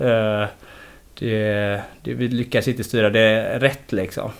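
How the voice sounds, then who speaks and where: A man with a medium pitch and monotone, flat intonation. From Gothenburg, Sweden. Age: 40s. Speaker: football head coach. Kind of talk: casual interview.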